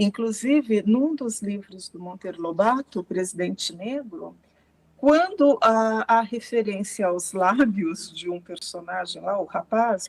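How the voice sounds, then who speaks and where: A woman's fairly high voice with lively intonation, delivered at a very slow pace. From Brazil, rural interior of São Paulo state. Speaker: researcher and professor. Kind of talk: interview.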